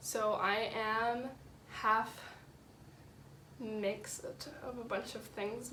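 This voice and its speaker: A woman with a Canadian accent and ordinary pitch variation, amid noticeable background noise and audible room echo. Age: young. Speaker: university student. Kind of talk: interview. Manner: hesitant, many fillers.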